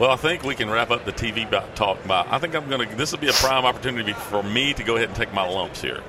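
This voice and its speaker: Against noticeable background noise, a man at a medium pitch talks very fast with ordinary pitch variation. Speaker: podcast host. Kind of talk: casual interview. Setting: trade show floor.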